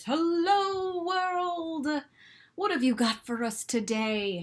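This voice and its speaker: Someone delivers a put-on character voice at an extremely high pitch and a very slow pace. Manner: cheerful, hearty.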